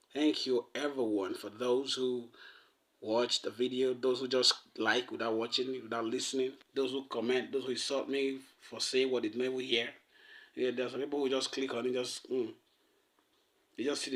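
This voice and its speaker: Speaking at a fairly quick pace, a man keeps a medium pitch with monotone, flat intonation. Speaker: podcast host. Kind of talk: monologue. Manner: fast; casual, halting.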